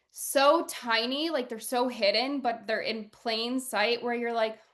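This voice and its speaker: Against a quiet background, a woman in an unremarkable speaking voice talks at a moderate pace and a fairly high pitch. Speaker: podcast host and spiritual guide. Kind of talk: casual interview chat.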